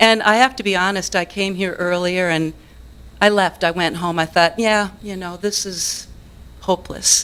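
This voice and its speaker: At a moderate pace, a woman with a medium pitch and fairly even intonation talks in an ordinary speaking voice. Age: 60s. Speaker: musician and business owner speaking at public comment. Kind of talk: public comment at city council meeting. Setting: city council meeting.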